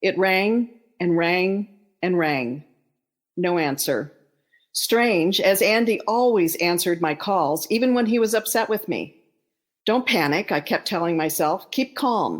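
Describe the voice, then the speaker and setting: A woman with a normal speaking voice at medium pitch talks at a fairly slow pace with lively intonation and very even loudness, on a very clean recording with a silent background. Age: 60s. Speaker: author and bereaved mother. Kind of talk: reading aloud.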